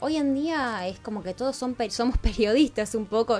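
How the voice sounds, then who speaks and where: Using a plain, everyday voice, a woman speaks at a moderate pace with fairly high pitch. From Argentina, Rosario. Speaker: TV hosting teacher. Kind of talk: radio interview.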